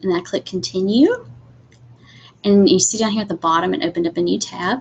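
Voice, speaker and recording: This woman talks at a fairly quick pace and medium pitch, with very wide pitch swings and vocal fry. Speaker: instructional technology trainer for teachers. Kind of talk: webinar tutorial. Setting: live video webinar with screen share. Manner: casual, many fillers.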